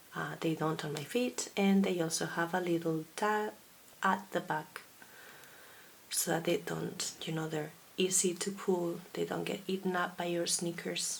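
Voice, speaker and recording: Amid noticeable background noise, a woman talks at a fairly slow pace in a fairly low pitch with fairly even intonation. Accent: Basque. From Basque Country, Spain. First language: Basque. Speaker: knitting podcaster and designer. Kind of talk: casual video podcast monologue.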